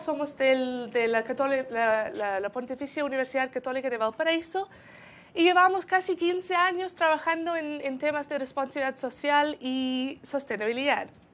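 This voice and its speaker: Here a woman talks with a South African accent. Her pace is moderate and her intonation lively. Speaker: sustainability consultant at a university centre. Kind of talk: conference presentation. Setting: event with audience. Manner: halting, many repetitions.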